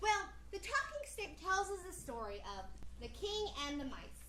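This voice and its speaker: A put-on character voice goes at a moderate pace, with slight echo and clear background noise. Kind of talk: children's theatre storytelling. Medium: stage play.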